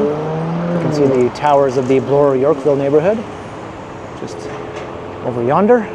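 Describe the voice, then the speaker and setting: Recorded dry with no echo but with noticeable background noise, a man speaks at a moderate pace. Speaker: walking tour vlogger. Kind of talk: casual walking commentary. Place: street. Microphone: phone near.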